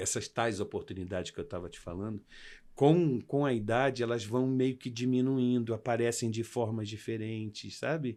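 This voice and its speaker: On a very clean recording with a silent background, a man talks at a moderate pace. His medium-pitched voice has a dark, mellow tone. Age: 60s. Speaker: actor and makeup artist. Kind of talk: interview. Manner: animated.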